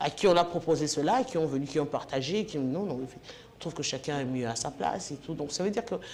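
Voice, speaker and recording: Very deep, low pitch from a woman at a fairly quick pace. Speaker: sports and political TV presenter. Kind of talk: interview.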